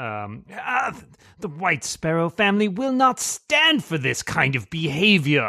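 Putting on a character voice, a man speaks at high pitch and a fairly slow pace with very wide pitch swings. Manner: indignant muttering.

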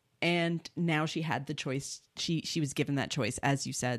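A woman speaks at a moderate pace with a very deep, low pitch. Her intonation is fairly even, and the recording is very clean with a silent background. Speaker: guest. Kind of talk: casual podcast chat.

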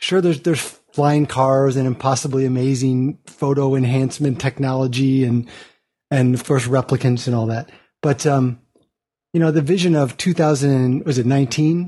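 In a plain, everyday voice, the speaker keeps a moderate pace and a very even loudness. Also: man, medium pitch for a man. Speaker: podcast panelist. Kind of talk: casual panel chat. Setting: remote audio call.

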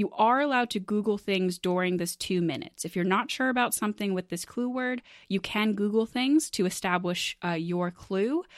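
In a very clean recording with a silent background and a dry, close sound with no echo, a woman with a normal speaking voice and medium pitch speaks at a moderate pace with lively intonation. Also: hardly any pauses. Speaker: game show host. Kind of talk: game show hosting, casual banter.

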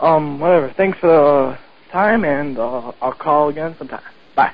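A man's voice, pitched fairly high, moves along at a moderate pace. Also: ordinary pitch variation.

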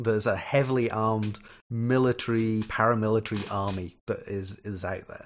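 This man speaks at a moderate pace in a fairly low, flat monotone, with big shifts in loudness. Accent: Scottish. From Scotland. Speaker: software developer, podcast guest. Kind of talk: casual chat.

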